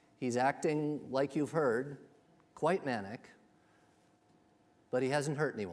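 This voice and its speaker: This man talks at a fairly slow pace and medium pitch, with long, frequent pauses. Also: ordinary pitch variation. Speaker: speaker presenting a medical ethics case series. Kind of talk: lecture with audience polling. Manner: hesitant fillers.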